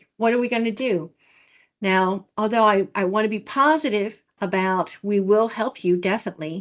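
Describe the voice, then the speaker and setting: Against a quiet background, a woman talks at a moderate pace. She has an unremarkable speaking voice with a fairly high pitch. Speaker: research development director. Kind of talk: office hour presentation on video call.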